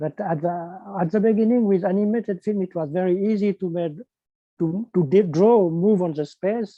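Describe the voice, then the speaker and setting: A man speaks with a French accent at a moderate pace, his pitch varying in an ordinary way. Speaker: animation filmmaker. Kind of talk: panel interview. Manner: halting.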